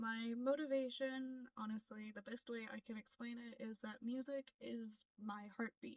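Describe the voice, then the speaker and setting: In a dry, close sound with no echo, a woman with an American accent speaks at a fairly high pitch and a fairly slow pace, with fairly even intonation in an unremarkable speaking voice. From US, Florida. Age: 20s. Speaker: K-pop audition applicant, aspiring singer. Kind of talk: self-introduction vlog.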